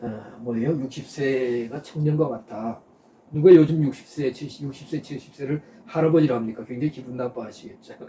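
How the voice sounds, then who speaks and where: A man's medium-pitched voice at a moderate pace, with ordinary pitch variation and big swings in loudness. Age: 60s. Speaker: pastor. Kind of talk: sermon. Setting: online live stream. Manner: halting, many filler sounds.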